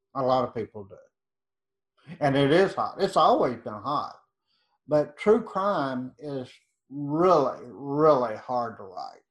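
In an East Texas accent, a man speaks at a very slow pace and a fairly high pitch, with lively intonation, big swings in loudness and long, frequent pauses, all on a very clean recording with a silent background. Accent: East Texas Southern. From East Texas, Nacogdoches. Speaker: true crime author. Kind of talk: interview.

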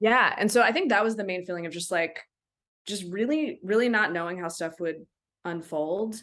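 With an ordinary speaking voice, a woman talks at a moderate pace and medium pitch, using ordinary pitch variation. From Maryland, US (Silver Spring). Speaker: documentary director. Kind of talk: casual interview.

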